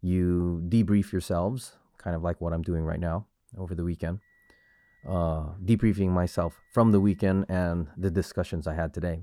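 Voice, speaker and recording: A man's very deep, low voice, dark and mellow in tone, fairly even in intonation at a moderate pace, dry and close with no echo. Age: 40s. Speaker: martial arts instructor and podcast host. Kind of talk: solo podcast monologue. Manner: casual, with repetitions and hesitations.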